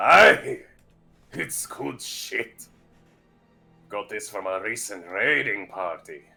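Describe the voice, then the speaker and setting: A man uses a gruff, put-on character voice at a fairly low pitch. He goes at a very slow pace with long, frequent pauses. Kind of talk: archaic pirate dialect. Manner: laughing, gruff, hearty.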